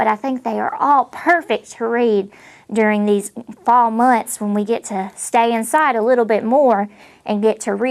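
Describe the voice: Plain reading aloud goes on here, the intonation fairly even.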